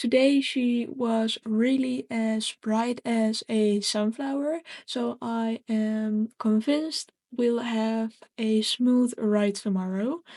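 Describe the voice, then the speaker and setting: Very slow speech from a woman with a fairly high pitch, a dark, mellow tone and fairly even intonation, in a dry, close sound with no echo. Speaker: gaming roleplay narrator. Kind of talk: roleplay vlog narration. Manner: soft-spoken.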